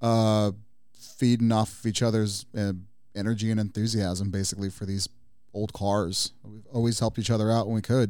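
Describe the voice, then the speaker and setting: A dark, mellow tone in a Californian accent, monotone and flat at a moderate pace, on a very clean recording with a silent background. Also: man, fairly low pitch for a man. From Southern California, Pomona. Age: 30s. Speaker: car enthusiast. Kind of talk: casual chat. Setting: studio.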